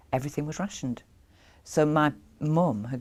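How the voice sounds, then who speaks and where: Speaking at a fairly slow pace with ordinary pitch variation, a woman with a Yorkshire accent is heard on a very clean recording with a silent background. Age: 50s. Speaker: craftswoman. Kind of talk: interview. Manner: halting.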